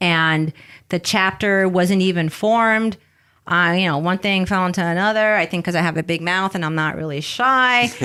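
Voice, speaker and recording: In a slight Bronx accent, a woman speaks at a moderate pace in a bright, sharp tone with ordinary pitch variation on a very clean recording with a silent background. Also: medium pitch for a woman. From New York City, the Bronx. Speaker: business founder and CEO. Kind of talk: podcast interview. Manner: lively.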